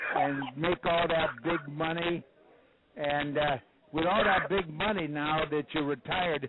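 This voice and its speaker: Over noticeable background noise, a man with a fairly high voice speaks at a fairly slow pace, his loudness very even and his intonation fairly even. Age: 80s+. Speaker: judo legend calling in. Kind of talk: casual phone chat. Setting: phone call.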